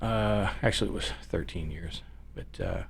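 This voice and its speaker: With a very deep, low pitch and an American accent, a man talks at a moderate pace amid audible room echo. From northern California. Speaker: business owner, former production manager. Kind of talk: casual chat. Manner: halting.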